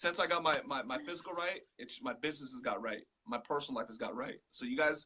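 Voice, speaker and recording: A loud voice races along at a very fast pace in an animated, bright, sharp tone. Its pitch swings very widely. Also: man, fairly high pitch for a man. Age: 30s. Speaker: digital marketing entrepreneur. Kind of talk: casual interview. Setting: live video call.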